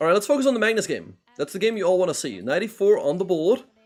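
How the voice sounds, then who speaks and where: With a Dutch accent, a man speaks on a very clean recording with a silent background. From Netherlands. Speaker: chess grandmaster and streamer. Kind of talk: live stream commentary with chat. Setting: live stream.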